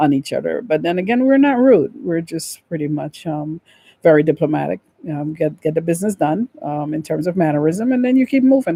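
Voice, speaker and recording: A woman with a Guyanese accent speaks at a fairly quick pace, her fairly low pitch swinging very widely. Her tone is dark and mellow, and the sound is dry and close with no echo. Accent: Guyanese accent, kept. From Guyana. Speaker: vlogger on relocation. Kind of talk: casual talk to camera. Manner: many fillers (um, uh).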